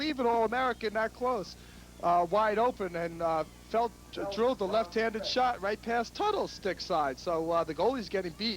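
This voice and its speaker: A man with a squeaky, high-pitched voice speaks at a moderate pace with ordinary pitch variation. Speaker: lacrosse color commentator. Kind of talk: live commentary.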